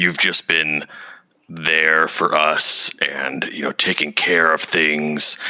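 A man uses a put-on character voice, raspy and very deep. He speaks very slowly in a flat monotone. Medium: actual play. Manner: stammering, earnest.

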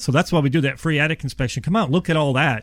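Recorded very cleanly against a silent background with a dry, close sound and no echo, a man speaks at a very fast pace in a fairly high pitch, somewhat breathy. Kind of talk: radio ad pitch. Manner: friendly, conversational salesman.

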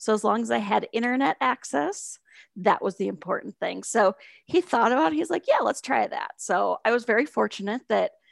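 A woman with an Upper Midwest accent talks at a fairly quick pace on a very clean recording with a silent background. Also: dry, close sound with no echo. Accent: Upper Midwest American. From South Dakota, Sioux Falls. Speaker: advertising instructor. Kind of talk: interview.

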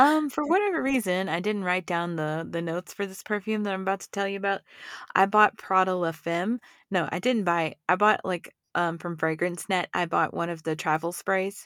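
A woman with an American accent and an ordinary speaking voice talks at a moderate pace in a medium pitch with ordinary pitch variation, the sound dry and close with no echo on a very clean recording with a silent background. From Texas. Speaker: podcast co-host. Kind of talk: casual chat.

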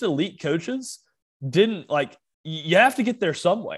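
Speaking at a moderate pace, a man with a high voice swings his pitch very widely against a quiet background. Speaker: sports podcast co-host. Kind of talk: casual chat. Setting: not his usual microphone. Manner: stammering, repeats words.

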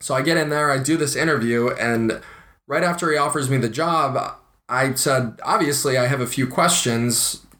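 A man's bright, sharp voice in an American accent, fairly high pitched, with very even loudness, ordinary pitch variation and a moderate pace. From US Midwest, Ohio. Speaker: podcast co-host, aspiring actor. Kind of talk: casual chat.

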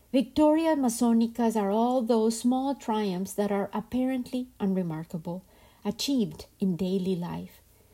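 A somewhat breathy woman's voice, dark and mellow in tone and fairly high in pitch, with ordinary pitch variation and a moderate pace, on a very clean recording with a silent background. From Colombia. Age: 50s. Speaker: podcast host. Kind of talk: reflective storytelling narration.

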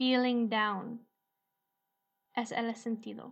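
A woman with an English accent speaks very slowly with fairly even intonation. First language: English (speaking Spanish). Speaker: English teacher podcast host. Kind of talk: language lesson.

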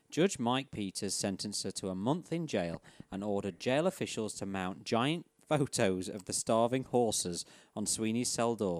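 On a very clean recording with a silent background and a dry, close sound with no echo, a man with an English accent speaks at a moderate pace, his fairly low pitch carrying lively intonation. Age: 30s. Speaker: podcast host. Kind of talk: reading aloud. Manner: laughing.

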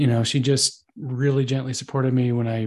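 Somewhat breathy and flat in a monotone, a man speaks against a quiet background. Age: 30s. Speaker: advertising copywriter. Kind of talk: interview.

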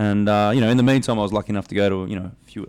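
Talking at a very fast pace, this man has an Australian accent. His pitch is fairly low. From South Australia (Adelaide). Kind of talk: casual interview chat.

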